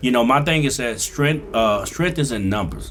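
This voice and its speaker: Lively intonation and vocal fry mark a man's medium-pitched voice as he speaks at a fairly quick pace. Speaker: DJ and comedian. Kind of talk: casual interview chat. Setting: studio. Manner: loud; animated.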